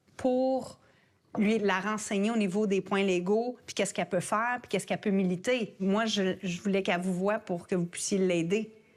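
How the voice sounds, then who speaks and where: A woman speaks at a moderate pace and medium pitch, with ordinary pitch variation. Hers is an ordinary speaking voice on a very clean recording with a silent background. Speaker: parent of a transgender teen. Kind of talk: testimony.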